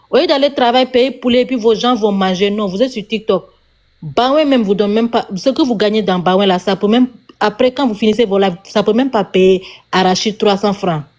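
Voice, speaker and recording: A woman with a Senegalese accent, fairly high in pitch, at a fairly quick pace with ordinary pitch variation. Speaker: TikTok live streamer. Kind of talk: heated rant on a live stream. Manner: animated.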